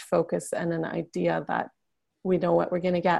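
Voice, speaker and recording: With a quiet background behind her, a woman is talking. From Canada. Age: 30s. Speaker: memoir writing coach and bodyworker. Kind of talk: interview conversation.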